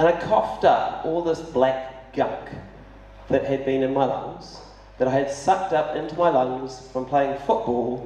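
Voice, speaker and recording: Audible room echo surrounds a man speaking with a New Zealand accent. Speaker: city councillor and mayoral candidate. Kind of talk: candidate forum speech. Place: hall.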